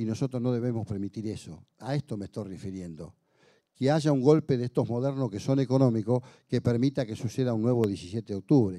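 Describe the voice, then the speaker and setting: The background stays quiet. His tone is dark and mellow, with ordinary pitch variation. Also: fairly quick pace. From Argentina. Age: 60s. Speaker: union leader and legislator; speaker. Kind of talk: speech to an audience. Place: hall. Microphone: handheld.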